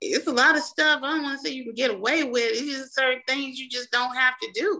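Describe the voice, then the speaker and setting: A woman with an American accent speaks in a raised, projected voice at a fairly quick pace. Her tone is bright and sharp, and her pitch is high. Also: ordinary pitch variation. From Mississippi, US South. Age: 40s. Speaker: small business owner, contractor. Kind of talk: interview.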